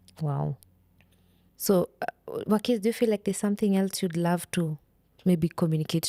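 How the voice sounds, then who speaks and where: A woman of medium pitch speaks at a moderate pace with ordinary pitch variation and a dark, mellow tone. The very clean recording has a silent background and a dry, close sound with no echo. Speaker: podcast host. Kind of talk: interview.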